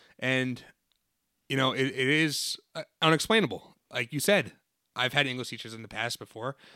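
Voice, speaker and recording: A man with an American accent speaks at a moderate pace in a medium pitch, his bright, sharp tone showing ordinary pitch variation and big swings in loudness in a dry, close sound with no echo. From New Jersey. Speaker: high school English teacher and podcast host. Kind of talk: casual chat.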